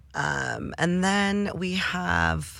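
Recorded very cleanly against a silent background, a woman talks with a Midwestern American accent. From Detroit, Michigan. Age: 30s. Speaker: cannabis entrepreneur and sommelier. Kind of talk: casual interview. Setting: studio.

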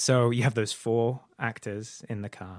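A man's flat, monotone delivery on a very clean recording with a silent background. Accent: British. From UK. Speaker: filmmaker. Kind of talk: podcast interview. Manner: halting, many fillers and repetitions.

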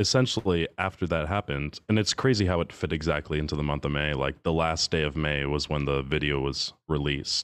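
This man talks fairly quickly with a very deep, low pitch and an American accent. His pitch moves in an ordinary way, and the sound is dry and close with no echo. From US Northeast. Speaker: bass singer. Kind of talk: casual chat.

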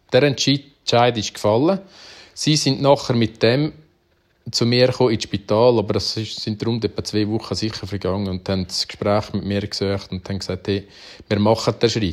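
A man speaks with an Uri accent and ordinary pitch variation. The recording is very clean, with a silent background. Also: fairly low pitch for a man, moderate pace. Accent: Uri Swiss German dialect. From Switzerland, canton Uri. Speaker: farmer and cattle breeder. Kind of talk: interview, personal story.

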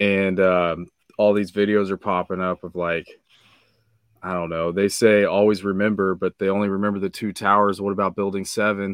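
Over a quiet background, a man speaks at a moderate pace with fairly low pitch and monotone, flat intonation, in a dry, close sound with no echo. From Kansas, US Midwest. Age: 30s. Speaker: podcaster and amateur rapper. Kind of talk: casual chat.

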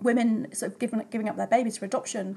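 A woman's fairly high, somewhat breathy voice with a dark, mellow tone and monotone, flat intonation. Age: 40s. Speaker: poet and writer. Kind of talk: casual chat. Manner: halting.

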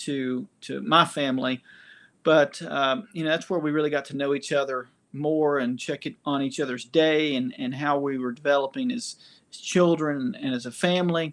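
This man has a fairly high pitch and an East Tennessee accent. The background is quiet. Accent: Southern US (East Tennessee). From US South, Knoxville, Tennessee. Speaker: church leader with doctorate sharing faith story. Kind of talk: testimony. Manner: halting, many fillers.

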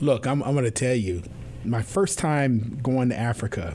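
A man with an American accent and an unremarkable speaking voice, pitched at medium. His pitch varies in an ordinary way at a fairly slow pace. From US Northeast, New York City. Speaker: university president and podcast host. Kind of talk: interview conversation; scripted introduction.

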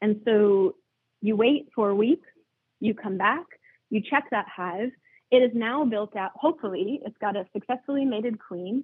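With ordinary pitch variation and a moderate pace, the woman uses a normal speaking voice. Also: fairly high pitch for a woman. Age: 30s. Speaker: beekeeper and queen rearing educator. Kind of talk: interview.

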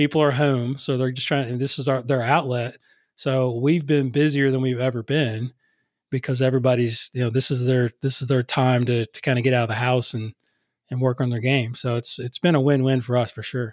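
Monotone and flat, a man speaks at medium pitch and a fairly quick pace. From West Virginia, US. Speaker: golf coach. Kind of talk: casual interview.

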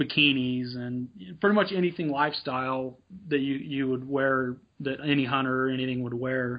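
Speaking fairly slowly with an American accent, a man has a normal speaking voice at a medium pitch with fairly even intonation. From Nevada, US. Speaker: apparel business owner and hunter. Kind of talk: interview.

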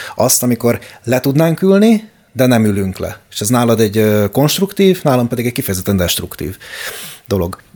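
Here a man talks at a moderate pace and medium pitch. His dark, mellow tone moves through very wide pitch swings. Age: 30s. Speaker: podcast co-host. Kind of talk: casual chat.

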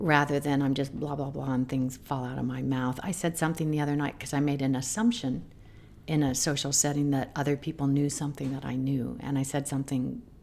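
A woman with an American accent speaks at a very fast pace. Her pitch is very deep and low, with vocal fry. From US Southwest, Albuquerque, New Mexico. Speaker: meditation teacher. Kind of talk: casual interview.

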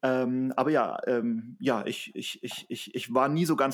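In a very clean recording with a silent background, a man talks in a normal speaking voice at medium pitch with ordinary pitch variation. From Bavaria, Germany. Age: 30s. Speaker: trail runner and social business founder. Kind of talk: casual interview.

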